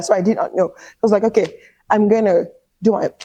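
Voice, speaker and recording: A woman with a Nigerian accent. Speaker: career coach. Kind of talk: interview answer.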